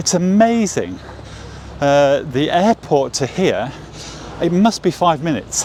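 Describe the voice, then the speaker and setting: Against noticeable background noise, a man with an English accent speaks at a high pitch with lively intonation and long, frequent pauses. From England. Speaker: watch vlogger. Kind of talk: walking vlog. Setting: outdoors on city street. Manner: halting, many fillers.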